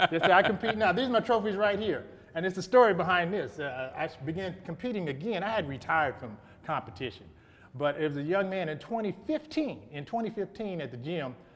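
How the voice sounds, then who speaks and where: A very fast, high-pitched man's voice with lively intonation. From Arkansas, Little Rock. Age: 60s. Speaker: bodybuilder and businessman. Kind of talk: casual interview.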